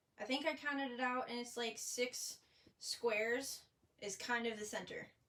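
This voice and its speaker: A woman talks at a moderate pace in a high pitch with a bright, sharp tone. Her intonation stays fairly even. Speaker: paper crafting demonstrator. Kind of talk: live craft tutorial. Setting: livestream. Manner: casual, chatty. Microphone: phone near.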